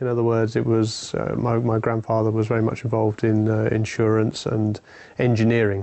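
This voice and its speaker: Talking at a fairly quick pace, a man keeps a medium pitch, monotone, flat intonation and very even loudness. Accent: southern English. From England, London. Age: 40s. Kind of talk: personal testimony. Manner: hesitant, many fillers.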